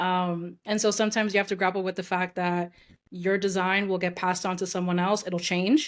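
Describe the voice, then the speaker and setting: A woman with a New York accent and a medium pitch speaks at a fairly quick pace in a monotone, flat intonation, recorded very cleanly against a silent background. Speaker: UX designer, former actress. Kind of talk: podcast interview. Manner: fast.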